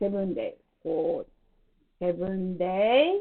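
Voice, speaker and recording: A woman with a non-native accent, very wide pitch swings and a very slow pace. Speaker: beauty salon owner and skincare promoter. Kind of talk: product presentation to camera.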